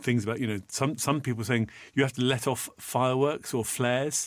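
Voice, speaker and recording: A man with a British accent speaks at a moderate pace and medium pitch. His intonation is fairly even, and the recording is very clean with a silent background. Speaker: podcast co-host and voiceover artist. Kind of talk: casual chat.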